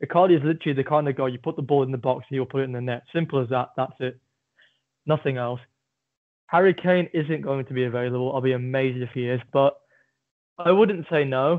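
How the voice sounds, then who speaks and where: Speaking very fast in an English accent, a man keeps a medium pitch with ordinary pitch variation. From England. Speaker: football podcast co-host. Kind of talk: casual chat. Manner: low-energy.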